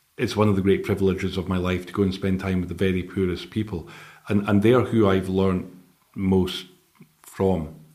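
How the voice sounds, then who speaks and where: In a Scottish accent, a man with a very deep, low pitch and a dark, mellow tone speaks at a fairly quick pace in a monotone, flat delivery, with audible room echo. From Scotland. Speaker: charity director. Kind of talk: interview.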